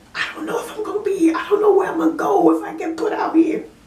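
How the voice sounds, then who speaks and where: A woman's pitch swings very widely while noticeable background noise runs behind her. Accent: Southern US. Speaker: part-time store clerk. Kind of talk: casual talk to camera.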